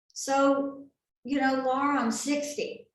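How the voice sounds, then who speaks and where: A woman speaks in an animated tone at a high pitch. Room echo is audible. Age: 60s. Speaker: health and wellness seminar presenter. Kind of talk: sales presentation.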